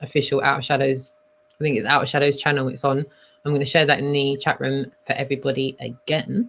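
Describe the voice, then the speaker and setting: A woman with a London accent speaks at a fairly quick pace, her very deep, low pitch held in fairly even intonation. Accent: London-sounding voice. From Scotland. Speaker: live stream host. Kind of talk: casual chat. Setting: live stream.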